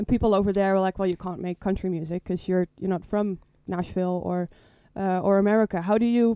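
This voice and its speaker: Recorded very cleanly with a silent background and a dry, close sound without echo, a man with a Dutch accent speaks in a high, dark and mellow voice with fairly even intonation. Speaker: student interviewer. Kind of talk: casual interview.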